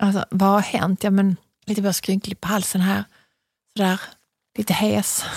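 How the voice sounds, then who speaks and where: Speaking with a Scanian accent, a woman delivers flat, monotone lines in a somewhat breathy voice, leaving long, frequent pauses, with a dry, close sound and no echo. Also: medium pitch for a woman, moderate pace. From Skåne, southern Sweden. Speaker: podcast host. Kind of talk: casual chat. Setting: studio.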